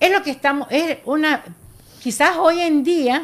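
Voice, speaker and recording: A woman at a fairly slow pace. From Ecuador, Guayas coast (General Villamil Playas). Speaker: artisanal fishing federation leader. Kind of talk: radio interview.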